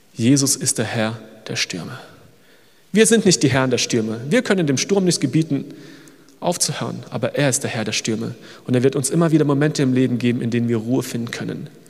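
A man talks at a very fast pace with lively intonation and vocal fry. Long, frequent pauses break up his speech. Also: medium pitch for a man. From Germany. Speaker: missionary. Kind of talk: sermon. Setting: church service.

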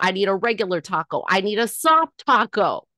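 In a dry, close recording with no echo and a quiet background, a woman with an American accent speaks with lively intonation. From Northern California. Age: 40s. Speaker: comedian. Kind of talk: casual chat.

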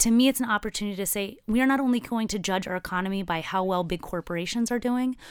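The voice races along at a very fast pace with an energetic tone and ordinary pitch variation. The recording is very clean, with a silent background. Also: woman. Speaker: senate candidate and labor organizer. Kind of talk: interview.

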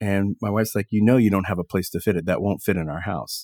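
In a very clean recording with a silent background and a dry, close sound with no echo, a man with an American accent talks fairly quickly in a very deep, low pitch with fairly even intonation. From Texas. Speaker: sommelier and restaurateur. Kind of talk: interview conversation.

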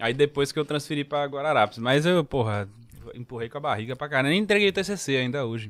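A man talks fairly quickly, his fairly high voice moving with lively intonation. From São Paulo, Brazil, moved to Recife at 15. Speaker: comedian. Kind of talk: casual chat.

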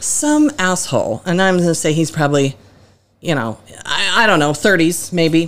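An ordinary speaking voice from a woman, fairly low in pitch, at a moderate pace with lively intonation and very even loudness, on a very clean recording with a silent background. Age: 40s. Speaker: podcast guest, a co-host's mother. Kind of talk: casual chat.

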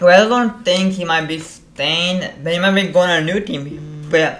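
Noticeable background noise sits behind the speech. The delivery has a moderate pace and ordinary pitch variation. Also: man. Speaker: co-host.

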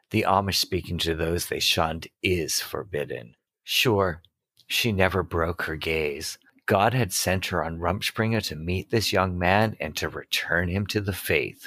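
A man with an American accent speaks fairly slowly at a very deep, low pitch, bright and sharp in tone, with ordinary pitch variation. The recording is very clean, the background silent. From Massachusetts. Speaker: podcast co-host, romance book reviewer. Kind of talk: casual chat, book discussion with reading aloud. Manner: halting, speech impediment.

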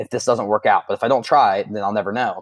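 A man speaks with an American accent over a quiet background. The sound is dry and close, with no echo. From Ohio, US. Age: 20s. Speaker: online fitness coach. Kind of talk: casual interview chat.

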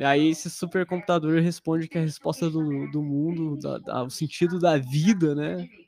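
A man talks at a moderate pace with hardly any pauses. His intonation is fairly even, and there is noticeable background noise. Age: 20s. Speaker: software engineer. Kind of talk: casual chat. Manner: talkative.

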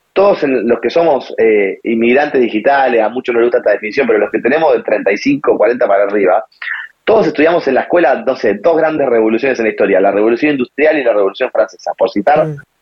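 Very fast speech with lively intonation. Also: man, fairly high pitch for a man. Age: 30s. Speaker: digital parenting columnist. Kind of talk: casual interview.

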